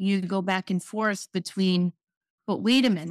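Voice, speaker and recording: In a very clean recording with a silent background and a dry, close sound with no echo, a woman speaks at a medium pitch with ordinary pitch variation. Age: 50s. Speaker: motivational speaker and trauma survivor. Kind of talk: personal testimony in interview. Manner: halting.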